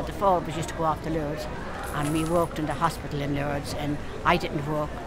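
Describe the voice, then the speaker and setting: Over loud background noise, a woman talks at a very fast pace, the sound dry with no echo. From Dublin. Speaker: market stall trader. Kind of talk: interview answer. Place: market.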